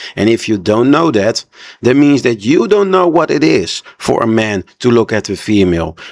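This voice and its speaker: An animated man at a medium pitch, with a non-native accent, very wide pitch swings and a moderate pace. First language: not English. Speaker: reaction video creator. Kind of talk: reaction commentary.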